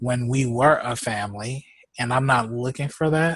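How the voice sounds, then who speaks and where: A man with an American accent. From Houston, Texas. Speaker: podcast host. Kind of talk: casual chat.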